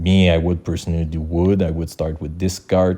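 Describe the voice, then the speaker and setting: A man's very deep, low voice in a Quebec accent, with a dark, mellow tone, monotone, flat intonation and a moderate pace. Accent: Québécois French accent in English. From Quebec, Canada. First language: French. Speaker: gaming YouTuber. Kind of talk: game tutorial. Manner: halting, with many fillers and restarts.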